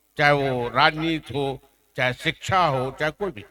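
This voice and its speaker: The sound is dry and close, without any echo. It is a man who talks. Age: 70s. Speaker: senior journalist. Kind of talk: award ceremony speech.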